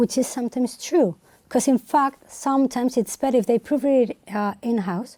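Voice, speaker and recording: In a very clean recording with a silent background, a woman speaks at a moderate pace with a high pitch and ordinary pitch variation. Her tone is dark and mellow, and the sound is dry and close with no echo. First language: Spanish. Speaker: translator. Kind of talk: interview. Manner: halting.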